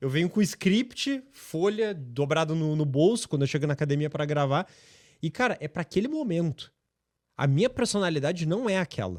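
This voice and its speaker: Lively intonation and a moderate pace mark this speech in a southern Brazilian accent, heard as a dry, close sound with no echo in a very clean recording with a silent background. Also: man, fairly high pitch for a man. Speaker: personal trainer. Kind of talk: podcast interview.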